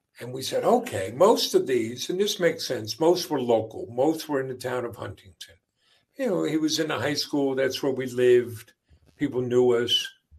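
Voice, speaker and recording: Using an ordinary speaking voice with an American accent, a man talks at a moderate pace and medium pitch with lively intonation. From US Northeast, Long Island, New York. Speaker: business owner, father of co-founder. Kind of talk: interview. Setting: live stream.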